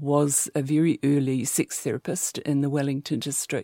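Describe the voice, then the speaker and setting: In a New Zealand accent, a woman speaks at a very deep, low pitch and a fairly slow pace, her tone dark and mellow. The sound is dry and close with no echo, and the recording is very clean with a silent background. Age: 60s. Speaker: sex therapist and clinical psychologist. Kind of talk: interview.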